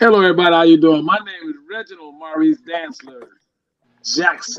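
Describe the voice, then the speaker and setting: At a fairly quick pace, a high-pitched man talks with ordinary pitch variation. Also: big swings in loudness. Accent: American. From Chicago, US Midwest. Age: 60s. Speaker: guitarist. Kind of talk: casual chat.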